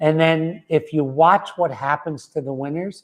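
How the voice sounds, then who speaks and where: A man's fairly high-pitched voice at a moderate pace, with ordinary pitch variation, against a quiet background. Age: 50s. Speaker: wellness center founder and author. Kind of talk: motivational talk. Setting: livestream video. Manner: halting, with many fillers.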